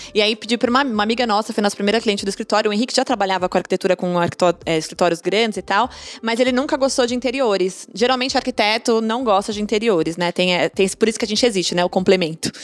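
A woman talks at a very fast pace with hardly any pauses. Her pitch is fairly high, with ordinary variation. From São Paulo, south periphery. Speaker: interior designer, former bank economist. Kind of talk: casual chat.

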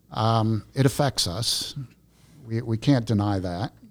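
A man with an unremarkable speaking voice talks fairly slowly at a medium pitch with fairly even intonation. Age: 60s. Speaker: former businessman and missions worker. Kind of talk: casual chat.

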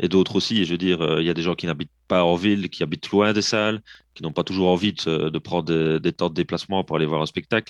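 A man with a Belgian accent talks at a very fast pace. His very deep, low voice has a dry, close sound with no echo. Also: fairly even intonation, quiet background. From Belgium, province of Liège. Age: 30s. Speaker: drummer and percussionist, project founder. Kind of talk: interview.

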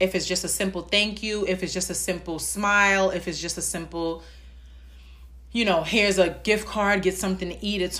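In a room with audible echo, a woman with a New York accent talks at a moderate pace. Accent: New York (Bronx). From New York, the Bronx. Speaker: podcast host. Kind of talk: solo podcast monologue.

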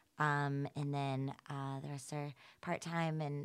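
A woman with an American accent speaks at a very deep, low pitch in a monotone, flat intonation. The recording is very clean, with a silent background. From US South, Atlanta, Georgia. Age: 30s. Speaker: health tech startup founder. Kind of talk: casual interview.

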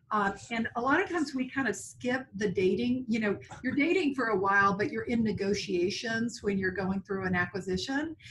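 A woman talks at a fairly quick pace with a slight Tennessee accent. Her pitch is fairly high. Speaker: HR executive. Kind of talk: interview.

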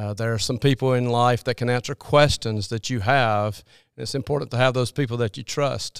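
A man with an American accent speaks at a fairly quick pace in a medium pitch and fairly even intonation, in a normal speaking voice, on a very clean recording with a silent background and a dry, close sound with no echo. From US South (Alabama, Birmingham area). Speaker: children's minister and basketball character coach. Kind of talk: interview.

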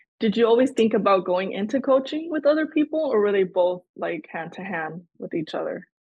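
The pitch swings very widely from high to low. The voice is somewhat breathy. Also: woman. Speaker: podcast host, student. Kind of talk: casual interview chat.

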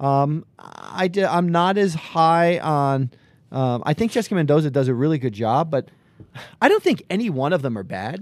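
A man with a fairly high pitch, lively intonation and an unremarkable speaking voice, in a very clean recording with a silent background. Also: moderate pace. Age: 50s. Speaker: sports podcast co-host. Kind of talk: casual chat.

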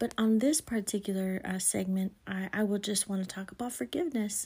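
Over a silent background in a very clean recording, a woman at medium pitch talks at a fairly quick pace in a somewhat breathy, dark, mellow voice with ordinary pitch variation. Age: 40s. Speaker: podcast host. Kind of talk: faith-based monologue.

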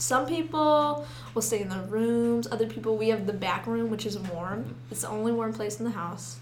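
With audible room echo and noticeable background noise, a woman with an American accent talks at a moderate pace. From Sidney. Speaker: college student. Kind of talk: casual chat.

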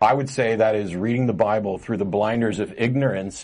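A man with a normal speaking voice, fairly low in pitch and with ordinary pitch variation. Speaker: talk show host. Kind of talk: live call-in talk show. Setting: studio. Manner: casual and joking.

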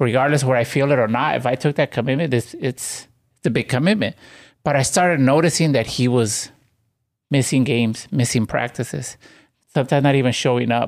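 A man's unremarkable speaking voice at medium pitch, with ordinary pitch variation, a fairly quick pace and very even loudness, on a very clean recording with a silent background. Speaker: team member, coach, storyteller. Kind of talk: casual panel discussion, personal story.

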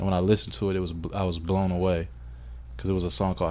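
With audible room echo around him, a man talks at a very fast pace in a very deep, low pitch. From Kentucky (Radcliff). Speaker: music producer and manager. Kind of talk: casual interview chat.

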